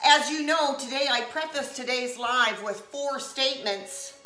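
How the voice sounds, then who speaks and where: A woman raises and projects her high-pitched voice in a room with audible echo and noticeable background noise. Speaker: comedy and lifestyle livestreamer. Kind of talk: casual live stream chat. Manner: loud talker; animated.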